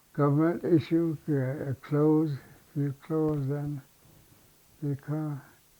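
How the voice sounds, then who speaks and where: In a Southwestern US accent, a man with a fairly high pitch and a dark, mellow tone speaks at a very slow pace in monotone, flat intonation, with long, frequent pauses. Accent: Navajo-accented English. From Navajo reservation, New Mexico. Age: 80s+. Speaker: war veteran. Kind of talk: oral history interview. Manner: halting.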